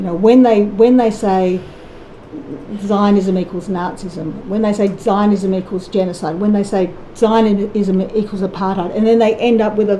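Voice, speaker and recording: The speech moves at a fairly slow pace with fairly even intonation, with audible room echo and noticeable background noise. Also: woman. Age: 60s. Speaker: musician. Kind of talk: testimony. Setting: public inquiry hearing.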